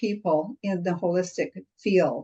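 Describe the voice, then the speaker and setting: Her voice carries a dark, mellow tone. It belongs to a woman. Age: 70s. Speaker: medical researcher, functional medicine consultant. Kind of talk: interview answer.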